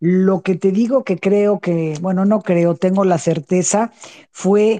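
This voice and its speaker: In a dry, close sound with no echo, a woman speaks very slowly in a dark, mellow tone. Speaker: author and former prisoner. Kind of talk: online panel interview.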